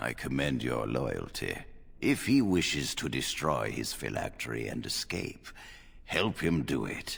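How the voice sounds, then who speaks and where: Putting on a character voice, a man talks at a moderate pace with a very deep, low pitch. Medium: video game. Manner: authoritative, measured.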